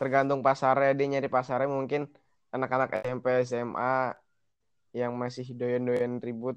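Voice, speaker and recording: Speaking at a fairly slow pace, a man with a medium-pitched voice keeps a monotone, flat intonation. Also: quiet background. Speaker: guest. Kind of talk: casual chat between friends. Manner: joking, slangy, profane.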